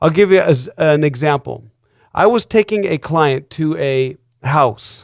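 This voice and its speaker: A man speaks with an unremarkable speaking voice at a fairly high pitch, with ordinary pitch variation and a fairly slow pace. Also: dry, close sound with no echo. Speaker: real estate broker. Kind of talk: radio show host talk.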